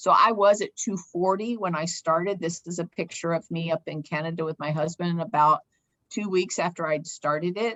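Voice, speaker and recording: A woman speaks at a moderate pace in an ordinary speaking voice, her fairly low pitch moving with ordinary variation. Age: 60s. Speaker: nurse and health educator. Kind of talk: casual interview chat with slideshow.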